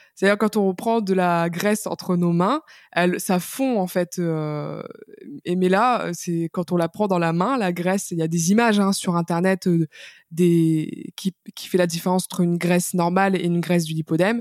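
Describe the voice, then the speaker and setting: A woman's fairly low voice, a normal speaking voice, at a moderate pace with fairly even intonation, dry and close with no echo. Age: 20s. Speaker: patient sharing her illness story, author. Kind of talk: testimony interview. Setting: remote recording.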